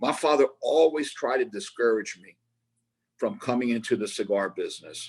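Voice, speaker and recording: With an American accent, a man speaks at a moderate pace in a fairly high pitch, his intonation lively. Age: 60s. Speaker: cigar maker. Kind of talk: interview. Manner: repetitive, halting restarts.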